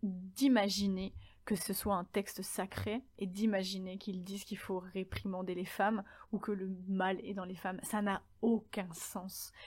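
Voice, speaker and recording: On a very clean recording with a silent background, a woman talks very slowly in a somewhat breathy voice of medium pitch. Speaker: podcast host. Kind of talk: solo podcast monologue.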